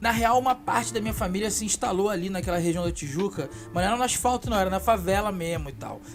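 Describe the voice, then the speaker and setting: Over music in the background, a man with a Rio de Janeiro accent talks at a very fast pace with hardly any pauses, his high pitch making very wide swings. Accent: Rio de Janeiro suburban (carioca). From Brazil, Baixada Fluminense (Rio de Janeiro). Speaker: YouTuber, urban chronicler. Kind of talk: casual storytelling.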